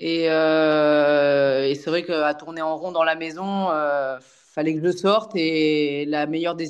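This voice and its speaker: A woman with a very deep, low pitch, monotone and flat, with hardly any pauses. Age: 40s. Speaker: amateur trail runner. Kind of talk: casual interview chat.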